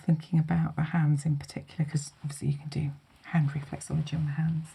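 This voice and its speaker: In a calm, gentle tone, a woman speaks at a very deep, low pitch, somewhat breathy and with monotone, flat intonation. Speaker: holistic therapist giving a hand massage. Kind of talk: calm guided treatment talk in an ASMR massage session. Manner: calm, gentle, soothing.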